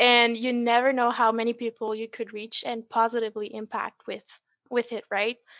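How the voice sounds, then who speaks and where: The voice has a French accent. Its tone is bright and sharp. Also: woman, dry, close sound with no echo, quiet background. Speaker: dietetics student and blogger. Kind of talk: casual interview.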